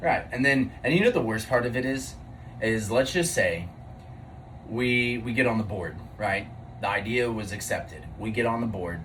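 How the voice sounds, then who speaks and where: A man speaks at a moderate pace and medium pitch with ordinary pitch variation, taking long, frequent pauses, with audible room echo and noticeable background noise. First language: not English. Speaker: podcast co-host. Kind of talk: casual chat. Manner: halting.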